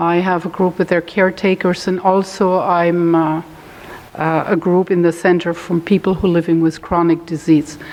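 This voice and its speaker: The delivery is monotone and flat, its loudness very even throughout. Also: woman, fairly low pitch for a woman. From Germany. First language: German. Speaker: holistic health educator. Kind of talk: talk to a support group; guided meditation. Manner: slow, calm.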